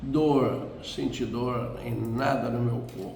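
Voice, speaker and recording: Noticeable background noise and room echo around a male speaker. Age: 80s+. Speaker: elderly churchgoer sharing life story. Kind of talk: testimony. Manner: halting.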